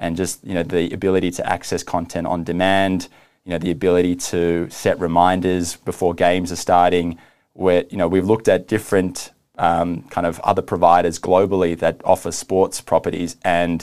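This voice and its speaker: In a very clean recording with a silent background, a man with an Australian accent speaks at a very deep, low pitch in monotone, flat intonation. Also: moderate pace. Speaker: video streaming executive. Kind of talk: business interview. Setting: studio.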